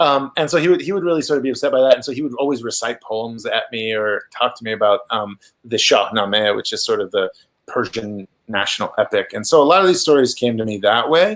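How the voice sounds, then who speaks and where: A man with an Iranian accent speaks at a very fast pace. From Iran, then raised in Oklahoma. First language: Farsi. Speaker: author. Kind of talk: interview about his book. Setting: virtual event video call. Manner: halting, many fillers and restarts.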